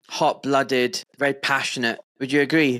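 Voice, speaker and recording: Here a man speaks in a Scottish accent. His pitch is fairly high. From Scotland. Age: 40s. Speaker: podcast host, doctor. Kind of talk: casual interview chat.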